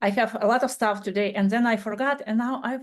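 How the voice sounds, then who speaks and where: A woman speaks with a non-native accent at a fairly high pitch. Her intonation is fairly even over a quiet background. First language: not English. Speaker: podcast guest, bereaved parent. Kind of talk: casual chat. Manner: halting.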